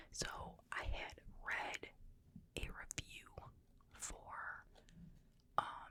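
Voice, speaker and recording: A woman speaks in a whisper. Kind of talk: ASMR whisper ramble. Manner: whispered.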